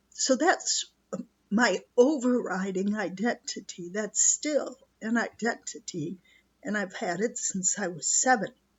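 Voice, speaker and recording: A woman speaks at a fairly slow pace in a somewhat breathy, fairly high-pitched voice. Her pitch swings very widely. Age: 70s. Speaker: retired nurse and teacher, video blogger. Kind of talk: personal reflection monologue. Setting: rustic cottage beside a wood stove.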